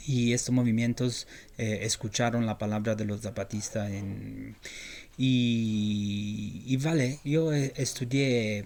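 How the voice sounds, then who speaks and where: A man speaks with fairly even intonation and an Italian accent. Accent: Italian accent in Spanish, non-native. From Italy. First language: Italian (speaking Spanish). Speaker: journalist. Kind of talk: interview. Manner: halting, many fillers and repetitions.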